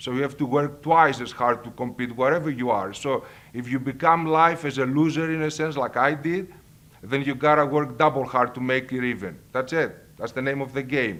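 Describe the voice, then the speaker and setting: A man at a fairly high pitch with a Greek accent, ordinary pitch variation and a moderate pace, on a very clean recording with a silent background. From Greece, Thessaloniki. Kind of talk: personal testimony. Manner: halting.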